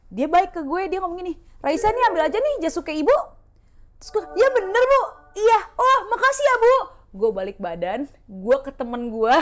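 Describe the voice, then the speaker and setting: The speaker has an animated tone with very wide pitch swings. The pace is moderate, with noticeable background noise. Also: woman. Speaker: podcast co-host. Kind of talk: casual chat, storytelling. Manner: loud.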